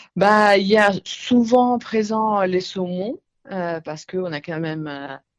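A woman's voice with an Italian accent and ordinary pitch variation. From northern Italy, north of Milan. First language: Italian (speaking French). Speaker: retail centre director. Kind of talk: radio interview. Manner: hesitant, many fillers.

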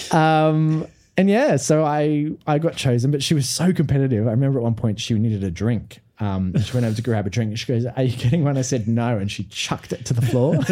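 Speaking with an Australian accent, a man uses a medium pitch and ordinary pitch variation. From Australia, Brisbane. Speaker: musical theatre performer. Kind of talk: casual chat. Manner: animated.

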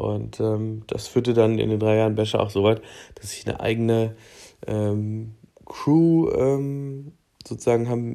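A man speaks at medium pitch with a dark, mellow tone. His intonation stays fairly even. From southern Thuringia, near Bavarian border. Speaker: podcast host. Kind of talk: casual solo monologue. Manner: casual with many fillers.

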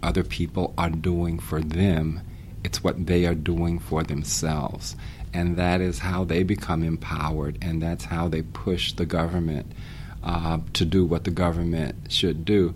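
Noticeable background noise under a man's very deep, low voice at a fairly slow pace. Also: ordinary pitch variation. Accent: American. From US South, Greensboro, North Carolina. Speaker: history professor. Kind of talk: interview conversation. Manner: emphatic.

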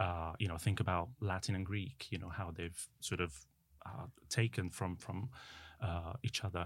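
With an Italian accent, a man speaks at a moderate pace and fairly low pitch, captured in a very clean recording against a silent background. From Italy. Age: 40s. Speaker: translator. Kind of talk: casual chat. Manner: animated.

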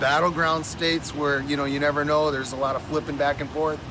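A man speaks over noticeable background noise. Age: 40s. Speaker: prison security officer. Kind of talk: interview. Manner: halting, with many fillers.

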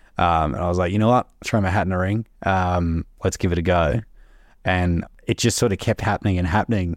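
A man with an Australian accent, very deep and low in pitch, at a fairly quick pace with ordinary pitch variation, in a dry, close sound with no echo. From Melbourne, Australia. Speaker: government graduate employee. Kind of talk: casual interview. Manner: halting, many repetitions.

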